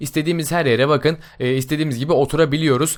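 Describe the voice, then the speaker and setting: A man's fairly high voice at a very fast pace. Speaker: gaming YouTuber. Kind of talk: game mod tutorial. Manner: casual, many filler sounds.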